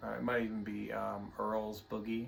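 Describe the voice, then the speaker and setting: A man with a Tennessee accent and a relaxed tone. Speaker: guitar teacher. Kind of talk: tutorial. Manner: halting.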